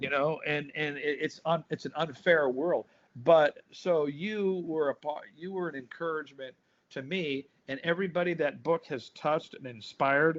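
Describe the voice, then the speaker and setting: In an American accent, a man with a fairly high pitch and an ordinary speaking voice talks at a moderate pace. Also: fairly even intonation. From US West Coast, Compton, Los Angeles. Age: 60s. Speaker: drummer and pastor. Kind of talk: interview, casual chat.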